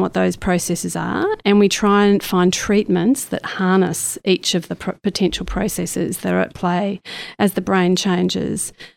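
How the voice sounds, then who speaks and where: With hardly any pauses, a woman talks at a moderate pace and medium pitch in a normal speaking voice on a very clean recording with a silent background. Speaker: stroke researcher professor. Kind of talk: interview conversation.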